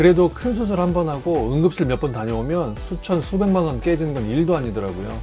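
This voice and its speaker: Over music in the background, a man with a fairly high pitch speaks at a fairly quick pace with lively intonation. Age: 40s. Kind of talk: personal story talk to camera.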